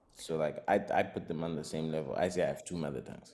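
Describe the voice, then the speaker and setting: A man speaks fairly fast while music plays in the background. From Zimbabwe. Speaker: rapper and singer. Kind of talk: interview.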